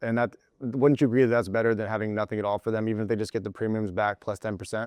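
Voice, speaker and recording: Over a quiet background, a man with an American accent speaks very fast in a fairly low pitch with monotone, flat intonation, the sound dry and close with no echo. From Colorado. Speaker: sales trainer. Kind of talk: group coaching session. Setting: room with group of agents.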